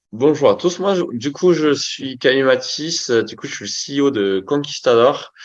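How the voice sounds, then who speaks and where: The background stays quiet. Against it, a man talks at a fairly slow pace. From French Basque Country. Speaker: agency founder and CEO. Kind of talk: interview. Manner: hesitant, many fillers.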